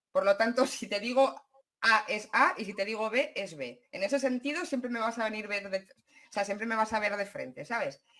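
The speech moves at a moderate pace. The intonation is lively. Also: woman. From Basque Country. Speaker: YouTuber. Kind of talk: livestream conversation. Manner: direct, blunt.

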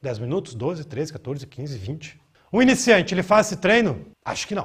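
With very wide pitch swings and a moderate pace, a man talks over a quiet background. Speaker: fitness coach. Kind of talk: coaching tutorial, demonstrating a workout while counting reps aloud. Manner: casual, direct, slangy. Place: gym. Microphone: lapel.

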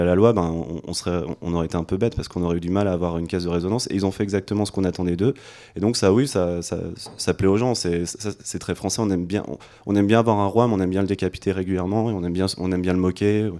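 Very deep and low, a man's dark, mellow voice moves at a very fast pace. His intonation stays fairly even against a quiet background. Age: 30s. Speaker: political activist; panelist. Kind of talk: panel discussion. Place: hall. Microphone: handheld.

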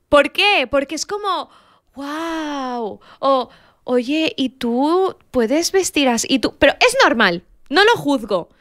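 The background is quiet as a high-voiced woman speaks very slowly. Her pitch swings very widely. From Morocco (Casablanca), Rif family; Morocco. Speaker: podcast co-host; podcast host or guest. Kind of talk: casual chat; casual podcast conversation. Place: studio. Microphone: studio mic.

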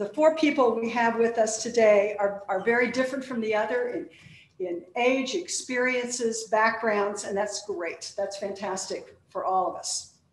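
A woman talks at a moderate pace with ordinary pitch variation. Audible room echo surrounds her voice. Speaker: panel host introducing speakers. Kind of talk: formal introduction speech. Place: stage. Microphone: podium.

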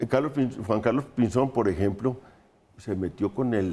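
At a very fast pace, a man speaks in a dark, mellow tone with ordinary pitch variation. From Colombia. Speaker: political analyst. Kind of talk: panel discussion. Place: studio. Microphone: lapel.

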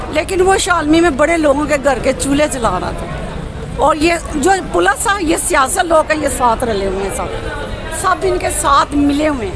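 Very wide pitch swings over clear background music, in a dry sound with no echo. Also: woman, high pitch for a woman. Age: old. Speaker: street interviewee; interviewee. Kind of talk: street interview answer. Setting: outdoors. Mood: frustrated, complaining about politics. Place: market. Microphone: handheld.

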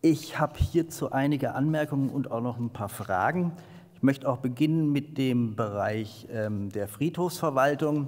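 Against a quiet background, a man speaks at a fairly slow pace with ordinary pitch variation. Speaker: local councillor. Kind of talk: council speech. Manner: formal. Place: meeting room. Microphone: podium.

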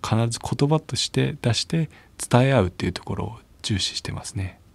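A man's somewhat breathy voice at a fairly quick pace, with very wide pitch swings and a dry, close sound with no echo. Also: very clean recording, silent background. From Japan, Chiba (Abiko). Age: 30s. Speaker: wheelchair rugby player. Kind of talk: interview testimony.

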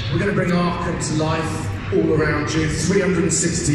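A man speaks over music in the background, with strong room echo. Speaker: panelist. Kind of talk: panel presentation. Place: hall. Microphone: pa.

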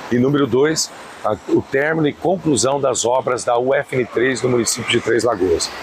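Speaking with a Brazilian accent, a man talks at a fairly slow pace with ordinary pitch variation and very even loudness, in a dry sound with no echo but noticeable background noise. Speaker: state government official. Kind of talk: news interview statement. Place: street. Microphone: lapel.

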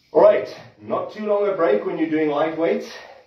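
Audible room echo is present. A man's voice rings within it. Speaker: trainer. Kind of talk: workout tutorial to live stream viewers. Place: gym. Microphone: camera far.

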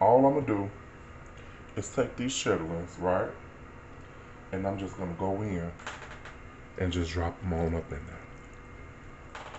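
Long, frequent pauses break up a man's speech at a very deep, low pitch. His pitch varies in an ordinary way, and there is noticeable background noise. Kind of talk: casual cooking tutorial. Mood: relaxed, amused. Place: kitchen. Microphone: phone near.

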